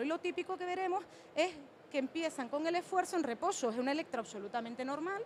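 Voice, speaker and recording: A woman talks at a very fast pace, with noticeable background noise behind her. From Canary Islands, Spain. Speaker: cardiologist. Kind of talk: conference talk.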